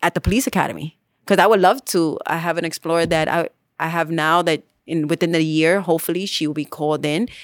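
With an American accent, a normal speaking voice moves at a moderate pace with fairly even intonation, recorded very cleanly against a silent background in a dry, close sound with no echo. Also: woman. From New York City, the Bronx. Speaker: police officer. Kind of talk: interview.

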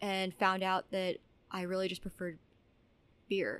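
Speaking at a fairly slow pace, a woman holds a medium pitch. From New Mexico, Albuquerque. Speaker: brewer. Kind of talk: casual interview. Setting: hotel bar at a conference.

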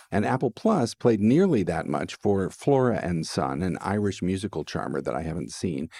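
A man speaks at a moderate pace with a dark, mellow tone, a very deep, low pitch, vocal fry and lively intonation, hardly pausing, in a dry, close sound with no echo. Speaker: film critic. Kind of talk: casual chat.

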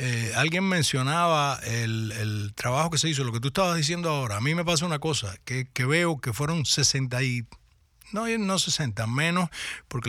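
The recording is very clean and the background silent. A man talks in a bright, sharp tone. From Cuba. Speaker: actor. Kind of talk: radio interview. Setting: radio studio.

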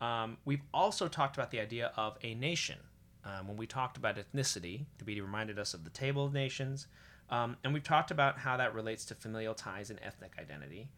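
On a very clean recording with a silent background, a man talks very fast at medium pitch in a bright, sharp tone, with lively intonation and big swings in loudness. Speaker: podcast host. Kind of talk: casual podcast discussion.

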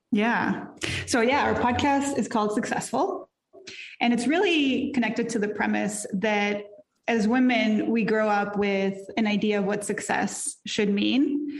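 Audible room echo surrounds a woman speaking at a fairly slow pace and a fairly high pitch, with ordinary pitch variation and very even loudness. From Mexico. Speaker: life and career coach. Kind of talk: casual interview.

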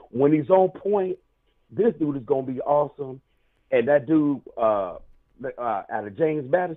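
With an ordinary speaking voice, a man with an American accent talks at a moderate pace and fairly high pitch, using lively intonation. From South Carolina. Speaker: caller. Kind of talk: call-in chat.

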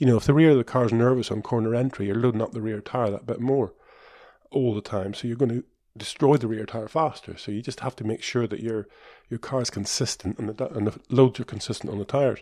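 A man speaks at a fairly quick pace in a dark, mellow tone, his medium pitch showing ordinary variation.

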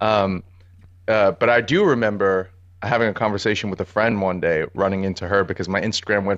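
A man with an American accent, fairly low-pitched and monotone with flat intonation, at a very fast pace against a quiet background. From New York City (Harlem, Brooklyn, Bronx). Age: 30s. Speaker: street and portrait photographer. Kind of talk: casual interview chat.

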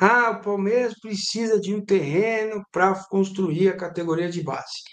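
High-pitched male speech at a moderate pace, its pitch varying in an ordinary way. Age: 50s. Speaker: sports journalist. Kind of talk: casual chat. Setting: live stream.

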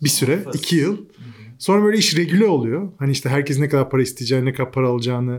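A man with a fairly high voice speaks at a very fast pace with ordinary pitch variation. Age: 40s. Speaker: digital agency founder. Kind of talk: casual interview. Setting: studio at a venue. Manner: animated, laughs often.

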